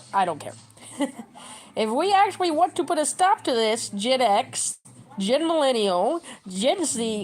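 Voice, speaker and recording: With an animated tone, a woman's voice makes very wide pitch swings. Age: 30s. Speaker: livestreamer. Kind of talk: casual livestream chat. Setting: at home. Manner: fast.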